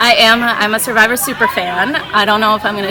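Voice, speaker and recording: Speaking with an American accent, a woman talks at a fairly high pitch and a fairly quick pace. Crowd noise fills the background, and the room echo is audible. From Minnesota, Saint Paul. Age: 20s. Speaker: reality game contestant. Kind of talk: confessional interview. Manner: casual, hesitant with fillers.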